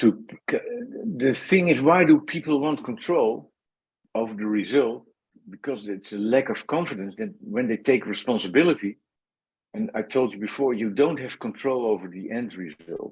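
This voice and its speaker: Speaking at a moderate pace, a man with a Dutch accent uses lively intonation. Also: medium pitch for a man. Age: 60s. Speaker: former pro cyclist and consultant. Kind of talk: podcast interview. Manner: halting.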